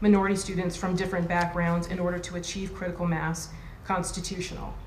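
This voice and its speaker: Noticeable background noise and audible room echo surround a woman speaking at a medium pitch. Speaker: law professor. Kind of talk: conference panel talk. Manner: fast.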